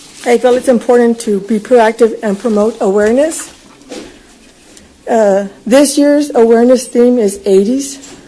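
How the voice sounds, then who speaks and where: A woman speaks with an American accent at a moderate pace and fairly high pitch. Her intonation is fairly even, with noticeable background noise. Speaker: event organizer addressing county court. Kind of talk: public request at government meeting.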